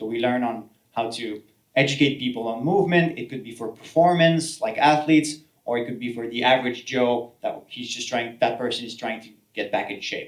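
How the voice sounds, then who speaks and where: In a Quebec accent, a man talks at a fairly quick pace and medium pitch, with ordinary pitch variation and big swings in loudness. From French Canada. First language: French. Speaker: healthcare professional and solopreneur. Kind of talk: talk to an audience. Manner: halting, many fillers and repeats.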